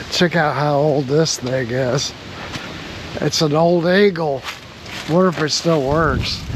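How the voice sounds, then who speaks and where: Long, frequent pauses break up very slow speech. Background noise is noticeable throughout. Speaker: boat mechanic. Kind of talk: tutorial. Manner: halting; casual, thinking aloud.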